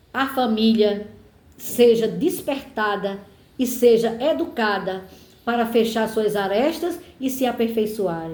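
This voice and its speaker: At a very slow pace, a woman with a fairly high pitch speaks with lively intonation in a room with audible echo. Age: 70s. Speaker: political commentator. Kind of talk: personal monologue.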